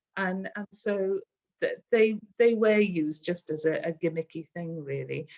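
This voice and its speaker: A woman with a Welsh accent at medium pitch and a fairly slow pace, with ordinary pitch variation, big swings in loudness and a dry, close sound with no echo. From Wales, Aberystwyth. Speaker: local history interviewee. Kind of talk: oral history interview.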